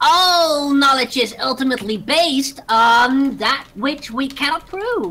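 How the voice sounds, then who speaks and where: Squeaky and fairly slow, this put-on character voice drags out its lines. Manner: dramatic, pompous.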